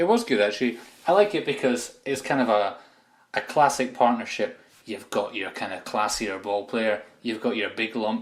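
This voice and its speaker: A man with a slight Aberdeen accent, medium pitch, ordinary pitch variation and a moderate pace. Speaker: football podcast co-host. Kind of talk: casual chat.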